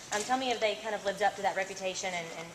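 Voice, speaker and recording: A woman with a Southern US accent talks at a very fast pace and medium pitch with fairly even intonation, with audible room echo and noticeable background noise. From Nashville, Tennessee, US. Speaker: TV reporter. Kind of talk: press conference interview. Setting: press conference.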